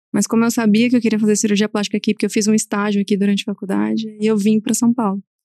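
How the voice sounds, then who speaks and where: Speaking very fast with hardly any pauses, a woman uses a fairly high pitch, a dark, mellow tone and monotone, flat intonation. Her loudness stays very even, and the sound is dry and close with no echo. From southern Minas Gerais, Brazil (Alfenas). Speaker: plastic surgeon. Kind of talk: casual interview chat.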